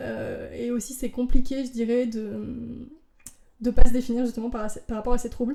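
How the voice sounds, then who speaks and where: This woman has a fairly high pitch and a dark, mellow tone. Her intonation stays monotone and flat. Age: 20s. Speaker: drag artist and actress. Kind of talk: casual chat. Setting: at her home. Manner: fast; loud peaks.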